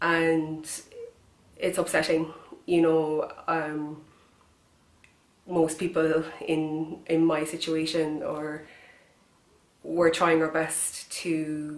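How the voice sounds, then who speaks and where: A woman with a Kerry accent, very deep and low in pitch, monotone and flat, at a very slow pace with long, frequent pauses, amid audible room echo. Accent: Kerry Irish. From Ireland, County Kerry. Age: 20s. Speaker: person with cystic fibrosis making a public appeal. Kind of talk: direct-to-camera appeal. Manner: halting with fillers.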